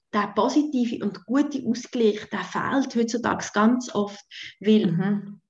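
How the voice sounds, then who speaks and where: Speaking at a very slow pace, a woman with a Swiss accent sounds somewhat breathy. Her pitch sits fairly high with ordinary variation. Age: 20s. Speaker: nurse and coach. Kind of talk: casual interview.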